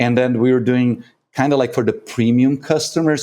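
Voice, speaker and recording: A man speaks with a Brazilian Portuguese accent at a medium pitch. His tone is dark and mellow, and his pace is moderate. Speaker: coffee competition judge and consultant. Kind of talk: podcast interview.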